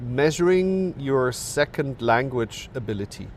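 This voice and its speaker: With a German accent, a man speaks at medium pitch with very wide pitch swings. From Germany. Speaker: professor. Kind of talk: podcast interview. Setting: recorded with bird sounds in background.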